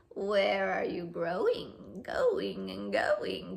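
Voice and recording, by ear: A woman's growling, put-on character voice at a very slow pace.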